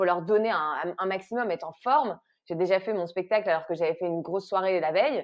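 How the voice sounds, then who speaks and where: Very fast female speech at a medium pitch, with ordinary pitch variation. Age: 30s. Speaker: actress and comedy writer. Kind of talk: interview conversation. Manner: hesitant, many repetitions and fillers.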